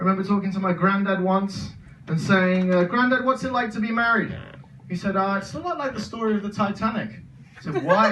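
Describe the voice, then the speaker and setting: A man's high-pitched voice at a fairly quick pace, amid noticeable background noise and audible room echo. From English Midlands, Birmingham. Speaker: stand-up comedian. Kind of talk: stand-up. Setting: stage with audience.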